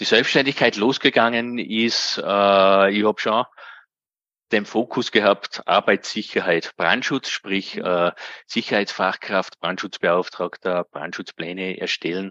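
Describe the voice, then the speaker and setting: A man's fairly low-pitched voice with a bright, sharp tone, at a very slow pace and ordinary pitch variation, dry and close with no echo over a quiet background. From Austria, Upper Austria. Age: 40s. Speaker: self-employed occupational safety specialist. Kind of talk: interview.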